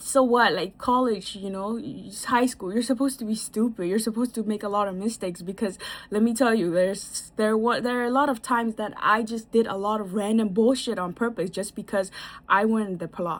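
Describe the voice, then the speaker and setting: Speaking at a fairly quick pace, a woman with a non-native accent has a fairly high pitch. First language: not English. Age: 20s. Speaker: vlogger. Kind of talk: casual advice monologue. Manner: animated; halting.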